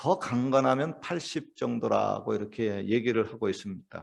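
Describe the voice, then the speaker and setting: A man talks with lively intonation. Nothing stirs in the quiet background. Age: 60s. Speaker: pastor. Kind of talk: sermon. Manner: hesitant, many fillers.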